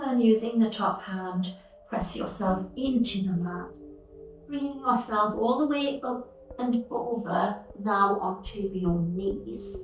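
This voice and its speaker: A woman's fairly high, very slow voice with ordinary pitch variation, music in the background. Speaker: yoga teacher. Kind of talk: guided yoga instruction. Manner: soft-spoken, slow.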